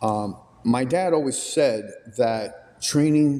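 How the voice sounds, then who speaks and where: A man speaks at a very slow pace with a medium pitch. Noticeable background noise sits behind him. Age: 30s. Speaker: podcast interviewer. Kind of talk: interview question.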